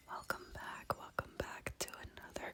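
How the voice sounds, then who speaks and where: Someone is whispering amid noticeable background noise. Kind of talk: whispered ASMR gaming ramble to camera. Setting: home recording, quiet house. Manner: whispered, soft-spoken, relaxed.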